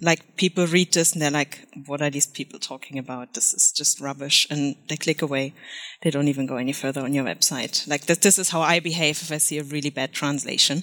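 A woman with a very deep, low pitch talks at a fairly quick pace with fairly even intonation. The sound is dry and close with no echo, on a very clean recording with a silent background. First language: German. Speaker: freelance SEO consultant. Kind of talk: podcast interview.

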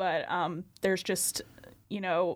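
A woman's unremarkable speaking voice at medium pitch, delivered at a fairly slow pace. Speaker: student podcast co-host, assistant managing editor. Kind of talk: casual chat.

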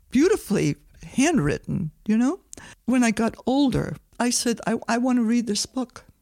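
On a very clean recording with a silent background, a woman with vocal fry speaks at a fairly slow pace. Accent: American. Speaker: host's mother, community member. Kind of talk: personal storytelling. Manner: conversational with fillers.

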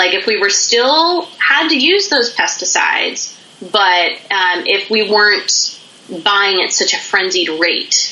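Against noticeable background noise and audible room echo, a woman with an American accent speaks very slowly at a medium pitch, her loudness very even but her pitch swinging very widely. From Pennsylvania, US. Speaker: business founder. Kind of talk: interview. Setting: video call.

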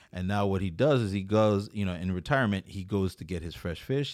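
At a fairly quick pace, a man with a plain, everyday voice and fairly low pitch speaks with ordinary pitch variation in a very clean recording with a silent background. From US Virgin Islands, Saint Croix. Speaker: food content creator. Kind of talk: casual chat.

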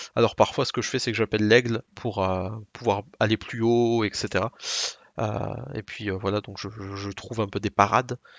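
A man with a fairly low pitch talks at a moderate pace in a flat monotone, his loudness swinging widely. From Alsace, France. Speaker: gaming podcast co-host. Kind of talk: casual chat.

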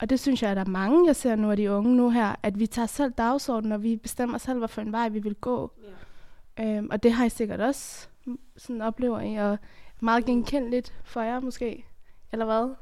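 Fairly high-pitched and fairly even in intonation, a woman speaks at a moderate pace in a normal speaking voice, captured on a very clean recording with a silent background. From Afghanistan. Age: 20s. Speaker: theatre performer and activist. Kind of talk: casual group discussion.

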